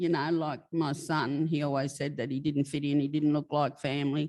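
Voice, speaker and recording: A woman with an Australian accent on a very clean recording with a silent background. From New South Wales, Australia. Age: 70s. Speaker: author. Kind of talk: interview. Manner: halting.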